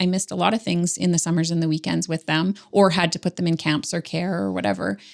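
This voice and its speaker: A woman with a Canadian accent speaks at a fairly quick pace in a plain, everyday voice. Her pitch sits fairly low. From Ontario, Canada. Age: 40s. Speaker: business coach. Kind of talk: interview conversation. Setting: podcast recording.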